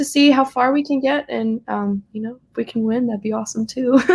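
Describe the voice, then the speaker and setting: Her pitch is high and her pace fairly quick. The woman speaks with a slight Southern US accent. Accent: slight Southern twang. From US South, South Carolina. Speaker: singer-songwriter and college student. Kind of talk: casual chat. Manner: hesitant with frequent fillers.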